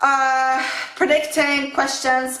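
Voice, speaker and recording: A woman's raised, projected, high-pitched voice amid noticeable background noise and audible room echo. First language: not English. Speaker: fitness vlogger. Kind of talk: casual vlog talk to camera. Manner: halting, with self-corrections.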